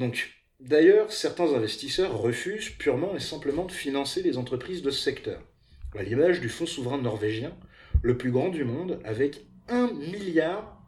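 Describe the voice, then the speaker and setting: A somewhat breathy man's voice, fairly high in pitch, with very wide pitch swings at a fairly slow pace. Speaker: podcast host. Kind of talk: casual chat; scripted narration.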